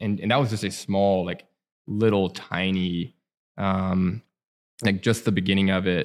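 A man with an American accent speaks at a fairly slow pace in a fairly low voice, his intonation fairly even and broken by long, frequent pauses. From Alabama. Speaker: coffee shop owner. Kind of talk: casual interview. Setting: back room of a cafe.

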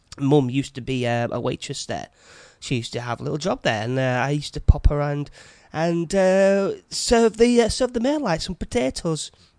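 With a northern English accent, a man talks at a moderate pace while his pitch makes very wide swings. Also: fairly high pitch for a man. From northern England, Yorkshire/Lancashire border. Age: 40s. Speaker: podcast host, chef. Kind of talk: casual monologue. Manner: halting.

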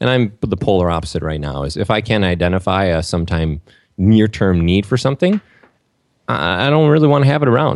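Delivered at a fairly quick pace with very wide pitch swings, the speech carries an American accent. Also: man, very deep, low pitch for a man. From Minnesota, US. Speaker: entrepreneur and minimalism blogger. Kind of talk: podcast interview.

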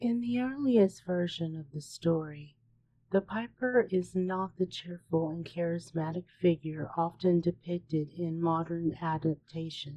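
Theatrical and dramatic, a woman speaks at a fairly slow pace in a fairly low pitch, with ordinary pitch variation. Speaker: horror podcast host. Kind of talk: scripted true-crime horror narration. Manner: slow, hushed, ominous storyteller delivery with dramatic pauses; theatrical and chilling, building suspense.

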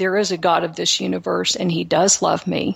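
With a slight Texan accent and vocal fry, a woman talks at a fairly low pitch. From Texas, Houston. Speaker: author and speaker. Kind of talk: interview testimony. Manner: halting.

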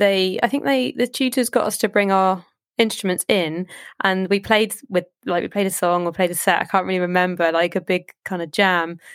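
Over a silent background in a very clean recording, a woman speaks at a moderate pace in a southern English accent with ordinary pitch variation. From southern England, Southampton. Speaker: electronic musician and producer. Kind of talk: casual interview chat.

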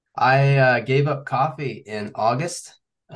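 His accent is American. The man's pitch shows ordinary variation. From US Midwest, Kansas City area. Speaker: ultramarathon runner. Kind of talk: casual chat.

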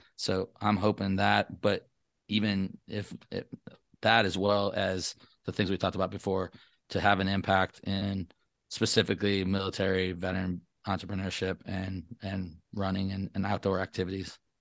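Very deep and low, a man's voice carries an American accent and monotone, flat intonation. The sound is dry and close with no echo, over a quiet background. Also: moderate pace. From northern Michigan, Traverse City. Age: 40s. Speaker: Air Force veteran and podcaster. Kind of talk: interview.

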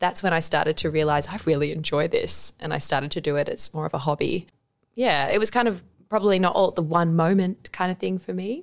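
Talking at a very fast pace, a woman with an Australian accent has a fairly low pitch and ordinary pitch variation. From Australia, Adelaide. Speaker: dietitian. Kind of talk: casual interview.

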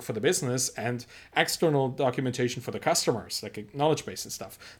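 A man with a German accent talks at a very fast pace in a medium pitch with ordinary pitch variation. The recording is very clean and the background silent. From Germany. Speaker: entrepreneur and author. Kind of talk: interview. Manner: halting, frequent repetitions.

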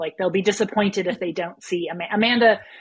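Speaking in an American accent, a woman of medium pitch sounds somewhat breathy, with ordinary pitch variation, at a moderate pace. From United States. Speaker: small business owner and business coach. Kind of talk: casual interview. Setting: remote call from Germany.

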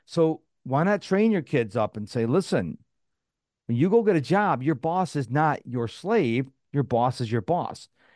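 At a fairly slow pace, the voice makes very wide pitch swings, with a dry, close sound with no echo and a quiet background. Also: man, fairly high pitch for a man. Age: 50s. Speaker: productivity coach. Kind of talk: interview.

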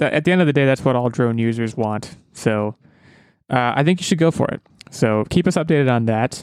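A man's medium-pitched, normal speaking voice moves at a fairly quick pace with ordinary pitch variation. It is a very clean recording with a silent background. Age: 20s. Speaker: podcast host. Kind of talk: casual chat.

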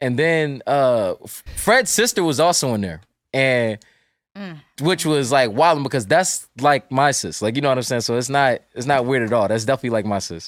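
In a normal speaking voice, a man with an American accent talks at a medium pitch and a moderate pace, with lively intonation. The recording is very clean, with a silent background. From US South, North Carolina. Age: 20s. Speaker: cartoonist. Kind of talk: casual chat.

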